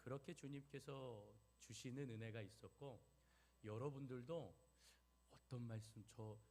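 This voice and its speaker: A man's somewhat breathy voice sits at a medium pitch with a dark, mellow tone. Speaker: pastor. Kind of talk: sermon.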